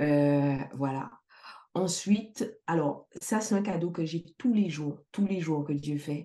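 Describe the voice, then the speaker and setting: A woman with a fairly low pitch and dark, mellow tone speaks at a very slow pace with lively intonation. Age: 40s. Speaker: life coach and entrepreneur. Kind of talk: casual interview.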